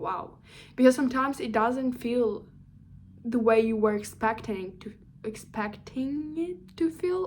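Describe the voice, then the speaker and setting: With a plain, everyday voice, a woman talks at a fairly slow pace, her fairly high pitch showing ordinary variation. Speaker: career vlogger. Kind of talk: casual monologue vlog. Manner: rambling, self-correcting with fillers.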